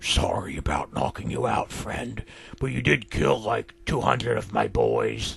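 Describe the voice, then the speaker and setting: A man puts on a raspy character voice at a fairly low pitch, speaking at a moderate pace. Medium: read story. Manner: laid-back, smug.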